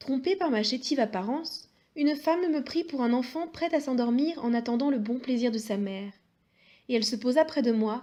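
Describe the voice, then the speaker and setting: There is a quiet background as a woman speaks at a moderate pace in a high, dark, mellow voice with ordinary pitch variation. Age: young. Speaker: audiobook reader. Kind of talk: reading aloud.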